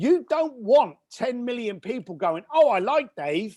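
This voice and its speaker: Animated in tone, a man speaks with a British accent. His pitch swings very widely. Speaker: entrepreneur and author. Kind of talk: interview conversation. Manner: fast.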